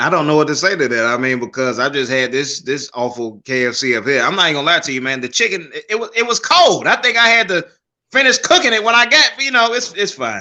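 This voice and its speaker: Speaking at a very fast pace with hardly any pauses, a man with a fairly high pitch and a bright, sharp tone makes very wide pitch swings. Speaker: comedian. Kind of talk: casual chat.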